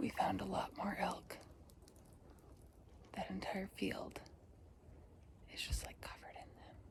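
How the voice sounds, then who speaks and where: A woman whispers at a fairly slow pace with long, frequent pauses, and room echo is audible. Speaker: travel vlogger. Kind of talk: travel vlog narration. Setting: outdoors. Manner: animated.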